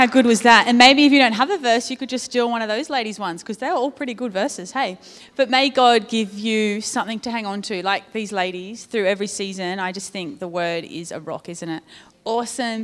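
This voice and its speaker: Speaking at a fairly quick pace and fairly high pitch, a woman uses a normal speaking voice with ordinary pitch variation and big swings in loudness. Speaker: church service leader. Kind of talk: prayer and church service hosting. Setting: church.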